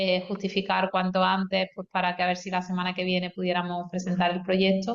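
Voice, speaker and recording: Talking fairly quickly with hardly any pauses, a woman with a slight Andalusian accent keeps a medium pitch and a monotone, flat intonation. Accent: Córdoba Andalusian accent, slight. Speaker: university campus project coordinator. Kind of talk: online meeting closing remarks.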